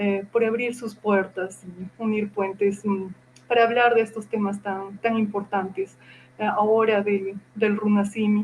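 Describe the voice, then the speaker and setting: A woman's monotone, flat intonation at medium pitch and fairly slow pace, over noticeable background noise. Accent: Andean. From Peru, Cusco Andes (Acomayo). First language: Quechua (speaking Spanish). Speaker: university professor and researcher. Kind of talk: interview. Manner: hesitant, many fillers.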